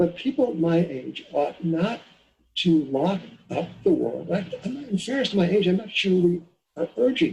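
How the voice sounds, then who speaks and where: A man with an American accent talks at a moderate pace, his high pitch carried by lively intonation. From New York, Long Island. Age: 70s. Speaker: economist and financial editor. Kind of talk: interview. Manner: halting. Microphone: poor sound quality.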